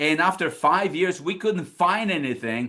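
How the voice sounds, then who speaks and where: A man talks in an energetic tone with a Polish accent. The background is quiet. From Poland. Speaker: financial services business leader. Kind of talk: recruiting presentation.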